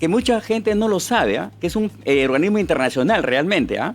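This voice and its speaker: A man speaking at a fairly quick pace, with very wide pitch swings. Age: 60s. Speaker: political candidate and machine manufacturer. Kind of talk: interview.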